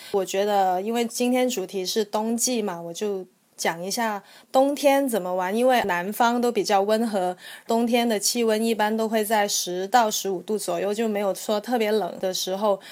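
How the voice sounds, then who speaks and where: A woman speaks at a moderate pace with a fairly high pitch. Her intonation is fairly even, and the recording is very clean with a silent background. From Guangzhou, southern China. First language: Cantonese (speaking Chinese). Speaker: travel blogger. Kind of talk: casual chat.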